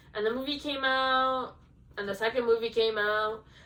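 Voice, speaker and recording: A woman with a high pitch speaks at a moderate pace in a Spanish accent. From Venezuela. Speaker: book vlogger. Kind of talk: casual chat. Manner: casual, filler-heavy.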